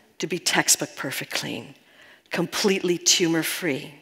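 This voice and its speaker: A woman with a New York accent speaks at a fairly low pitch. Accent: New York American. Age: 60s. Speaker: spiritual healing teacher. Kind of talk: talk to live audience. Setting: stage with audience.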